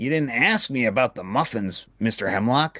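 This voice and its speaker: A man puts on a character voice at a medium pitch. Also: moderate pace. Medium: read story.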